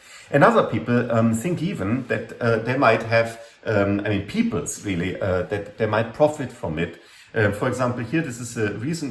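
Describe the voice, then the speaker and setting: Audible room echo surrounds a man of medium pitch. He speaks at a moderate pace with ordinary pitch variation. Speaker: university lecturer. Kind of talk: lecture. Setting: classroom talk. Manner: hesitant, many fillers. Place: home room. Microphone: webcam.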